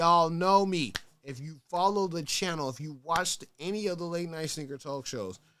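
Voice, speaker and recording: Talking at a fairly quick pace, a man with an American accent has a high-pitched voice. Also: very clean recording, silent background. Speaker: sneaker talk show host. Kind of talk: casual livestream talk show. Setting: livestream on Twitch. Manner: animated.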